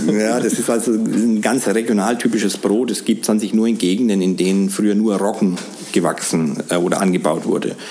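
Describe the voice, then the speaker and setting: Talking at a fairly quick pace, a man keeps a fairly low pitch, very even loudness and fairly even intonation. Noticeable background noise runs underneath. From Middle Franconia, Germany. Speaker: baker. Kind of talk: interview. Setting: in a bakery.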